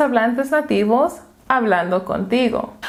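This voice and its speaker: A woman with a slight non-native accent, fairly high pitch and lively intonation, over noticeable background noise. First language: English (speaking Spanish). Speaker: language teacher. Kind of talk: tutorial.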